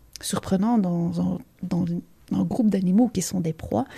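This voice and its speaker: With a Belgian accent, a woman speaks at a moderate pace and medium pitch in a somewhat breathy voice with a dark, mellow tone. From Belgium. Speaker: leadership coach. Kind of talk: interview.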